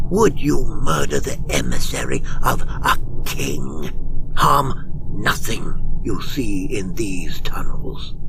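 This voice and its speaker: A put-on character voice goes at a very slow pace over loud background noise. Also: man. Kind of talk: read story. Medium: read story.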